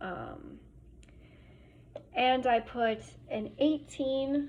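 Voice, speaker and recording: A woman speaks in a high voice with an American accent. Her intonation stays fairly even. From Germany. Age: 20s. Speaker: student. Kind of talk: class presentation. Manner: hesitant, many fillers.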